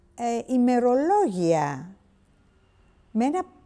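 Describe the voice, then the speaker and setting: A woman's high-pitched voice, dark and mellow in tone, with very wide pitch swings. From Greece, Syros (Cyclades). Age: 80s+. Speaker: eyewitness interviewee. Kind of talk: testimony. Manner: halting.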